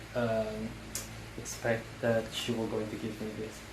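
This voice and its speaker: Fairly slow speech from a man, amid noticeable background noise and audible room echo. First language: not English. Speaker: vlogger. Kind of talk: casual vlog. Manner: halting, many fillers.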